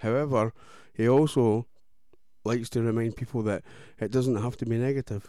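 A man speaks in a dark, mellow tone with monotone, flat intonation and long, frequent pauses. The recording is very clean, with a silent background. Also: medium pitch for a man, moderate pace. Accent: Scottish. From Scotland. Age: 30s. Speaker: radio host. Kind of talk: casual chat. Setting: studio.

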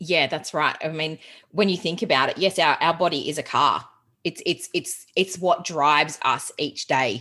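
Speaking at a moderate pace with an Australian accent, a woman uses a fairly low pitch, ordinary pitch variation and a bright, sharp tone, in a very clean recording with a silent background. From Australia, Geelong (Victoria). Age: 30s. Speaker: productivity coach. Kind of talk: casual interview chat.

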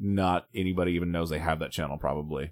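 With an American accent, a man speaks at a very fast pace and a very deep, low pitch, captured in a dry, close sound with no echo. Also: very clean recording, silent background. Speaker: podcast host. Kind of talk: casual chat. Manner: opinionated, outspoken.

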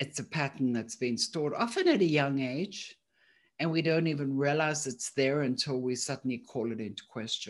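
Someone with a South African accent speaks at a moderate pace against a quiet background. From South Africa, Johannesburg. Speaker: thinking coach, company founder. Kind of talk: interview conversation.

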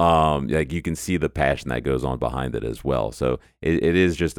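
A man speaks in a very deep, low pitch. The recording is very clean with a silent background. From New Orleans, Louisiana. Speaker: esports team owner. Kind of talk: interview conversation.

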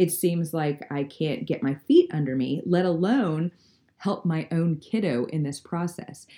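A fairly slow pace carries the speech. Its dark, mellow tone shows ordinary pitch variation. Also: woman, fairly low pitch for a woman. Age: 40s. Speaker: education podcast host, parent. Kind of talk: solo monologue podcast.

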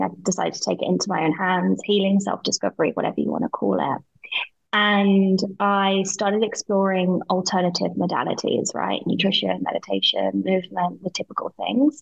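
A woman talks at a moderate pace with a British accent. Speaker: business owner and mentor. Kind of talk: casual interview conversation. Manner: animated, expressive.

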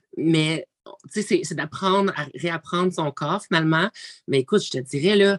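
Recorded dry and close with no echo, a woman with a Quebec accent speaks at a fairly slow pace and a fairly low pitch, with ordinary pitch variation. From Quebec, Abitibi-Témiscamingue. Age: 20s. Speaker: reality TV personality. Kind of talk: casual interview.

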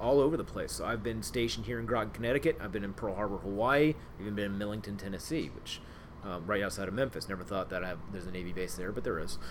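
A man with an American accent, fairly low-pitched and very fast, amid audible room echo. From Ohio, Cincinnati. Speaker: naval officer. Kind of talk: interview, role-played in first person as a submarine; casual interview about own career.

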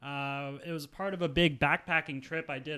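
In a very clean recording with a silent background, a plain, everyday voice speaks at a moderate pace with fairly even intonation. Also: man. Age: 30s. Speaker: world traveler. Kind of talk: casual chat.

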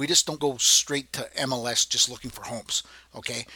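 A man talks in a normal speaking voice at medium pitch with ordinary pitch variation. His pace is moderate, and the sound is dry and close with no echo. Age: 50s. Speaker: podcast host and real estate agent. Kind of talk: casual monologue. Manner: relaxed with filler words.

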